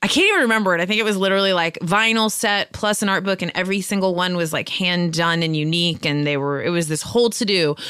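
A woman with an American accent talks at a very fast pace in a medium pitch, with ordinary pitch variation, very even loudness and noticeable background noise. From US West Coast, San Francisco Bay Area. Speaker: podcaster and comedian. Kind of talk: casual chat.

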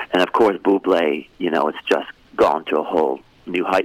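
A man with a Canadian accent at a moderate pace, in a dry, close recording with no echo and noticeable background noise. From Canada. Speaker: theatre performer and producer. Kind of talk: radio interview, casual chat.

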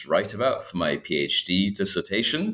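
With a Scottish accent, a man talks at a fairly slow pace. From Scotland. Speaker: historian, assistant professor. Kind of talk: interview about his book.

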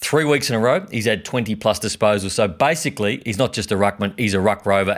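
Speech with an Australian accent at a moderate pace, in a very clean recording with a silent background. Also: man. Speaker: podcast co-host. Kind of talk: casual banter, sports podcast.

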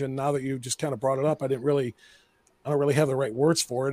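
The recording of this man is very clean, with a silent background and a dry, close sound with no echo. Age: 50s. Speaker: radio host. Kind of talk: casual chat.

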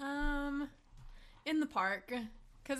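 A woman with a bright, sharp tone uses a raised, projected voice at a fairly slow pace. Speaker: podcast guest, TV fan.

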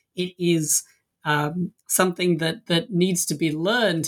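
Here a man speaks with an English accent at a moderate pace. The recording is very clean, the background silent. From England. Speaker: university professor. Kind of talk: interview.

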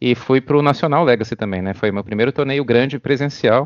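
A man speaks at medium pitch with ordinary pitch variation. It is an ordinary speaking voice. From Brazil. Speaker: competitive card game player. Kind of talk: podcast interview.

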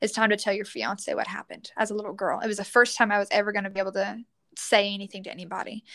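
A woman with a Southern US accent has a bright, sharp tone at a medium pitch. Her intonation is monotone and flat, on a very clean recording with a silent background. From Louisiana, US South. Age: 20s. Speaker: teacher and church youth leader. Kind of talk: casual interview chat.

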